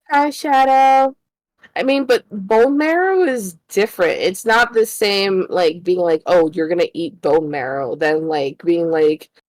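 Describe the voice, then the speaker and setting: A woman's medium-pitched voice at a fairly slow pace, with very wide pitch swings and a dry, close sound with no echo, over music in the background. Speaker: streamer guest. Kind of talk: casual chat. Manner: soft-spoken.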